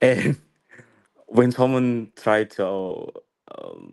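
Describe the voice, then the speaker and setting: Someone with an Indonesian accent speaks with fairly even intonation over a quiet background. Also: man. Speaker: English learner. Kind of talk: casual chat. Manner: halting.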